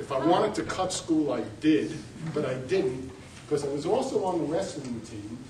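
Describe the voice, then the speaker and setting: Speaking with a New York accent, a man with a fairly high pitch is heard through noticeable background noise and audible room echo. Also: lively intonation, moderate pace. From New York City. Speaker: college representative. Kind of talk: panel presentation.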